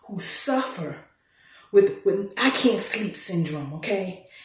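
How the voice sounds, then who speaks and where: Amid noticeable background noise and audible room echo, a woman speaks in an animated tone with lively intonation. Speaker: storyteller. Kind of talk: casual chat; storytelling. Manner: loud.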